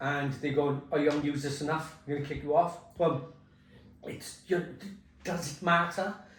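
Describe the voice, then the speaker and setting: A man with a British accent and a fairly high pitch, at a moderate pace with fairly even intonation, plus noticeable background noise and audible room echo. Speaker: compliance consultant. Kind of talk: casual chat during hot wings challenge.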